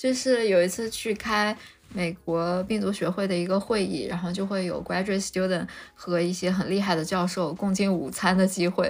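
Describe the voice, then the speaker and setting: Speaking with an unremarkable speaking voice, this woman keeps a medium pitch, a moderate pace and fairly even intonation. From Lanzhou, northwest China. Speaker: molecular biology PhD, biotech researcher. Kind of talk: casual interview chat. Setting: remote online recording.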